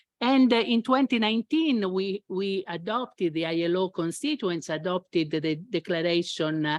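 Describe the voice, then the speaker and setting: The speaker talks at a moderate pace with an Italian accent, lively intonation and hardly any pauses. The sound is dry and close, with no echo. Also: woman, medium pitch for a woman. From Italy. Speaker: international labour official moderating a panel. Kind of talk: panel discussion opening remarks. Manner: halting, many fillers.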